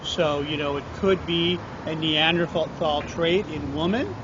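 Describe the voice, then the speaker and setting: Through noticeable background noise and audible room echo, a man speaks in a high pitch with fairly even intonation. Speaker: podcast host. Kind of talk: casual chat.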